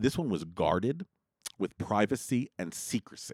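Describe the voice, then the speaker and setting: A normal speaking voice with lively intonation moves at a moderate pace. The recording is very clean, with a silent background and a dry, close sound with no echo. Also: man. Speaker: podcast host. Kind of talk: pitchman; podcast patreon pitch, friendly and promotional. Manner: upbeat, salesy, coaxing.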